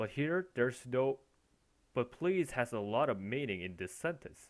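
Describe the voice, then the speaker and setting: On a very clean recording with a silent background, a man at medium pitch talks at a moderate pace with lively intonation. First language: not English. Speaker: language teacher. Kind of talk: language lesson explanation. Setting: recorded with headphones.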